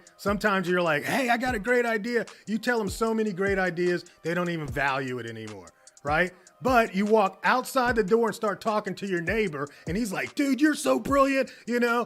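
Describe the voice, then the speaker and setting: Music plays in the background as someone with an American accent talks at a moderate pace. The tone is animated, with lively intonation. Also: man. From United States. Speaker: business coach. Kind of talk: motivational talk.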